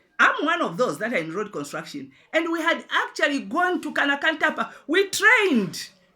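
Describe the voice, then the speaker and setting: A woman's raised, projected voice, high in pitch and bright and sharp in tone, with very wide pitch swings and hardly any pauses. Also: moderate pace. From Zambia. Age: 60s. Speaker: pastor and businesswoman. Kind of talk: address to the president. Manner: impassioned, emphatic; halting with repetitions.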